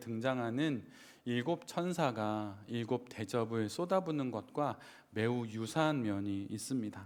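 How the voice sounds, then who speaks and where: At a fairly slow pace, a man talks at medium pitch in a very clean recording with a silent background. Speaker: pastor. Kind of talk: sermon.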